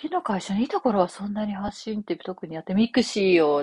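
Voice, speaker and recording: A woman's fairly quick speech with lively intonation. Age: 40s. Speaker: copywriter and podcast host. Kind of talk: casual solo talk. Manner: many fillers, conversational.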